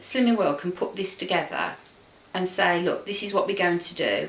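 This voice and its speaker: In an English accent, a woman speaks at a moderate pace with audible room echo. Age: 50s. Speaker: weight-loss group consultant. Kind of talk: casual chat.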